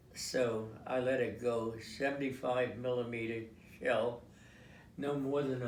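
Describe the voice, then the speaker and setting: A man of medium pitch talks at a very slow pace over noticeable background noise. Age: 80s+. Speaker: war veteran, former tank commander. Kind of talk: interview answer. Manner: halting, hesitant.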